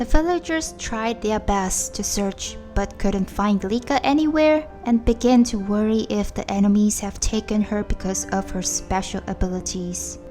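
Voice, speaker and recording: Over music in the background, a woman of medium pitch talks at a moderate pace with lively intonation and hardly any pauses. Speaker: video game story narrator. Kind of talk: game story recap narration.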